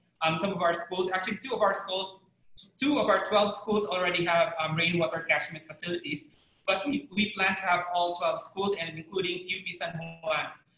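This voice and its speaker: A man's raised, projected voice, high-pitched with a bright, sharp tone and ordinary pitch variation, in audible room echo. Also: moderate pace. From Philippines. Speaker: city public information officer; panelist. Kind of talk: panel discussion. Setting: video call. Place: home room. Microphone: video call.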